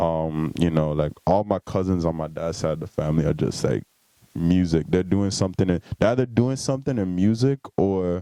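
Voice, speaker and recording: A man's very deep, low voice with a dark, mellow tone and an American accent, at a moderate pace with lively intonation, dry and close with no echo, over a quiet background. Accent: island. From US Virgin Islands, St Thomas. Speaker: musician. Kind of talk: podcast interview.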